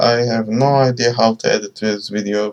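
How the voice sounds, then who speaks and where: A man speaks with a non-native accent. His pitch is medium and his pace fairly slow. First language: not English. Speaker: hobbyist game developer. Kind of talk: casual tutorial walkthrough. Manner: halting, many fillers.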